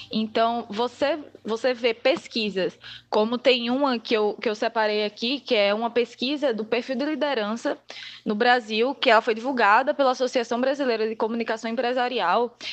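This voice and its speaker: A woman's fairly high voice at a moderate pace against a quiet background. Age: 20s. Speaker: public relations student. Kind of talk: casual interview.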